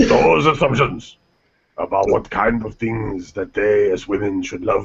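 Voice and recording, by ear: In a put-on character voice, a man speaks at a fairly low pitch and a fairly slow pace, with vocal fry and a husky, rough edge. His pitch varies in an ordinary way.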